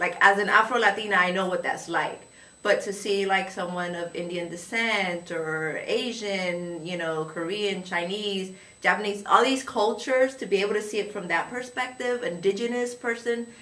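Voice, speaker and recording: A woman with a Spanish accent speaks at a moderate pace and medium pitch, with ordinary pitch variation, over noticeable background noise and audible room echo. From moved around as a child: Louisiana, Georgia, Germany. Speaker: high school Spanish teacher. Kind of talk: interview. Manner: casual, conversational with fillers.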